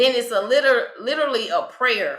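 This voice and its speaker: Woman with a Texas accent and a bright, sharp tone, with audible room echo. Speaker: spiritual life coach. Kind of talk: interview conversation.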